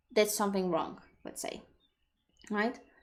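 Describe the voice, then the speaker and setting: A woman speaks at a medium pitch with a Polish accent. The recording is very clean, with a silent background. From Poland. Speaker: personal development coach. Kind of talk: live stream Q&A. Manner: halting, many repetitions.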